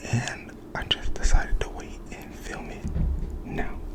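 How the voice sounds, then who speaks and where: Whispering over noticeable background noise. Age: 20s. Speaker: ASMR creator. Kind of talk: ASMR casual talk. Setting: at home. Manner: soft-spoken.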